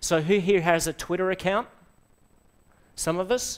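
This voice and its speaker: In an Australian accent, a man speaks at a moderate pace. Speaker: software trainer / conference speaker; software trainer, conference speaker. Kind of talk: presentation to a live audience. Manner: animated. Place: classroom.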